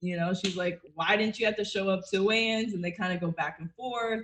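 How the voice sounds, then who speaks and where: With an American accent, a woman speaks at medium pitch with fairly even intonation in a plain, everyday voice. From US Northeast (Connecticut/Massachusetts). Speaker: jiu-jitsu and MMA fighter. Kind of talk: casual chat.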